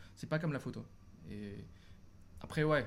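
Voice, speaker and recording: Delivered at a moderate pace, the speech carries audible room echo. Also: man. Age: 20s. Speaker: photographer and business student. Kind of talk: casual interview on a livestream.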